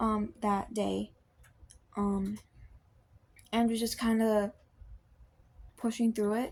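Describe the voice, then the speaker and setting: Very slowly and somewhat breathily, a woman talks at a fairly high pitch. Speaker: video blogger. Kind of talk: personal testimony. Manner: halting, many fillers.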